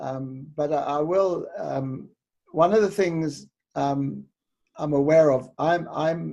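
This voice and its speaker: A man with a New Zealand accent and a dark, mellow tone speaks at a fairly slow pace, his fairly high pitch for a man held in fairly even intonation. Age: 70s. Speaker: interviewer and speaking coach. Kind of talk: interview.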